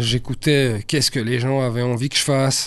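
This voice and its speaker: This man's voice sits at a medium pitch with fairly even intonation. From Brussels, Belgium (Saint-Josse). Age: 40s. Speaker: rapper. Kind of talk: casual interview.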